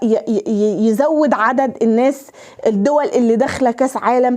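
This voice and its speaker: Over noticeable background noise, a woman with a high pitch talks in an animated tone at a moderate pace, with ordinary pitch variation. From Egypt. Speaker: YouTuber. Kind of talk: emotional direct-to-camera address. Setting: unplanned handheld camera recording. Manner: halting, frequent stutters and restarts; animated, impassioned.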